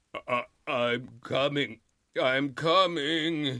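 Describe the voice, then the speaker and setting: A man's put-on character voice, fairly high in pitch, with fairly even intonation. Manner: wailing.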